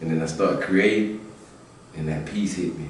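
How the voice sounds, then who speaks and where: In a room with audible echo and noticeable background noise, a man with a very deep, low pitch talks at a moderate pace with fairly even intonation. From South Carolina, small country town. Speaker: rapper. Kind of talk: interview. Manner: halting, repeats words.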